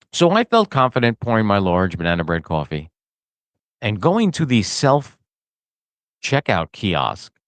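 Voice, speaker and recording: A man speaks in a New Jersey accent with a fairly low pitch. His intonation is lively. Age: 60s. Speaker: podcast host. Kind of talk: casual comedic monologue.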